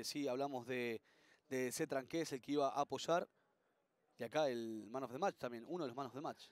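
A fairly high-pitched man talks at a moderate pace in an animated, upbeat tone. The sound is dry and close, with no echo. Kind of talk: sports commentary, rugby highlights voiceover. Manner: fluent, animated play-by-play, upbeat; conversational, chatty with co-commentator.

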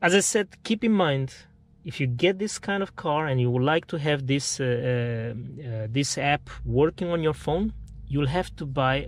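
A man's lively intonation, dry with no echo, over light background noise. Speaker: car owner reviewer. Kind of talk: casual vlog chat. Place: car. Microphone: phone near.

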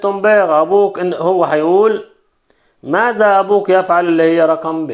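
Against a quiet background, a man with a high pitch speaks in fairly even intonation. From Egypt. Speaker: French teacher. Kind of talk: lesson. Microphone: phone near.

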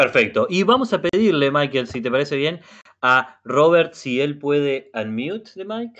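Over a quiet background, a man with a Rioplatense accent speaks at a fairly slow pace, his fairly high pitch carrying lively intonation. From Uruguay. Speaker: native-speaker language facilitator. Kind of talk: online language class. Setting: video call. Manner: halting. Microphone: video call.

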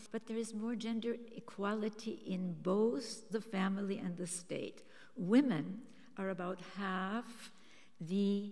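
With an Austrian accent, a woman talks at a very slow pace. Her pitch is medium, with ordinary variation. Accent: Austrian German-tinged English. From Austria, Vienna. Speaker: author and systems scientist; speaker. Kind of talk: speech. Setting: stage with audience. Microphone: podium.

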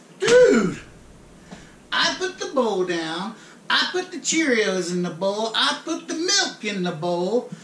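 A man talks fairly slowly. His voice carries audible room echo. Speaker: comic actor playing frat bro. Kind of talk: comedic rant monologue. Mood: mock outrage. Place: kitchen. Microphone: camera far.

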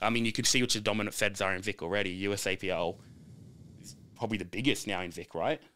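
Very fast and with big swings in loudness, a man with an Australian accent speaks at a fairly low pitch in a bright, sharp tone with ordinary pitch variation. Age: 20s. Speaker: powerlifter and gym owner; podcast guest. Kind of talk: casual chat. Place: studio. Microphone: studio mic.

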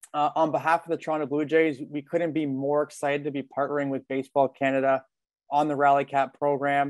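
The speech comes at a fairly quick pace in a monotone, flat intonation, with a dry sound with no echo and a quiet background. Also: man. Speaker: program partner host. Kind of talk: webinar welcome address. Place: home room. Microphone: video call.

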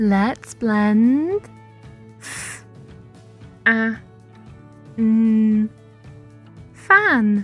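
Music plays in the background behind a woman's voice. She speaks in a fairly high pitch with fairly even intonation. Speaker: phonics teacher. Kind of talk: children's phonics lesson. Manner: slow, clear.

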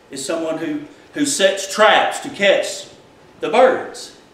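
Audible room echo around a man talking at a fairly slow pace. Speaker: preacher. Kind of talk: sermon. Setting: church. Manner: animated, fervent preaching with call-and-response; informal, conversational. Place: church. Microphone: camera far.

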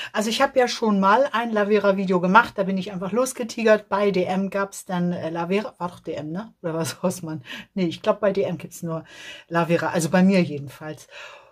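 Over a quiet background, the speech runs at a fairly quick pace with ordinary pitch variation and big swings in loudness. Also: woman. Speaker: beauty vlogger. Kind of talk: casual vlog chat. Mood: cheerful, chatty. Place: home room. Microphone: phone near.

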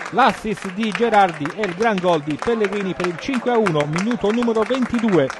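A man speaks at a high pitch and a fairly slow pace, with ordinary pitch variation. A crowd murmurs in the background. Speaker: football commentator. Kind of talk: live sports commentary. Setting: stadium.

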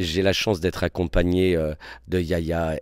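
A man speaks in a very deep, low pitch with fairly even intonation. The sound is dry with no echo, and the background is quiet. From Réunion. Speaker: theatre director and actor; actor. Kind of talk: interview. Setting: theatre. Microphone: handheld.

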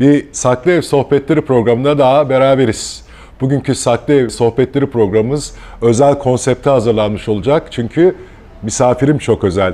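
A man at a moderate pace with very even loudness. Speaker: local TV interviewer. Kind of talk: casual chat. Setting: café or bar. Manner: hesitant, many filler sounds. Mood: relaxed, friendly. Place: cafe.

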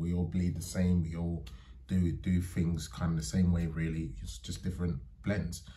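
A man's very deep, low voice, dark and mellow in tone and somewhat breathy, with fairly even intonation at a moderate pace. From London, England (Barking); London. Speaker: vlogger. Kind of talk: casual monologue to camera. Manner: halting, many fillers. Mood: thoughtful, calm. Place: home room. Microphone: phone near.

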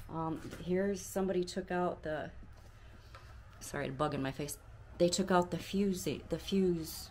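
A moderate speaking pace over light background noise. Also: woman. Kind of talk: casual vlog chat. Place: home room. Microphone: phone near.

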